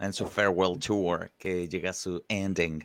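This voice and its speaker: A man with a Chilean accent has a very deep, low pitch and a bright, sharp tone, speaking fairly slowly with fairly even intonation. The sound is dry and close with no echo, in a very clean recording with a silent background. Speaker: wrestling podcast host. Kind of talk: casual chat.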